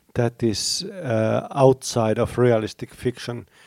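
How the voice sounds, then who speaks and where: A man speaks with a Finnish accent at a medium pitch. His pitch variation is ordinary, and the sound is dry and close with no echo. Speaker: teacher, writer and critic. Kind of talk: panel discussion. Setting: convention stage with audience.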